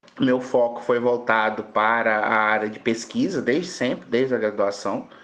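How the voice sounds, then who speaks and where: A man speaks with fairly even intonation. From Brazil, southern Espírito Santo. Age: 30s. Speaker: pharmacy professor. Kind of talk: podcast interview. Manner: halting, many fillers.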